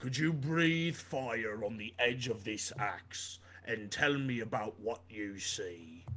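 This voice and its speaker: A man puts on a raspy character voice of medium pitch, speaking at a fairly slow pace. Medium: actual play. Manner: formal, no contractions.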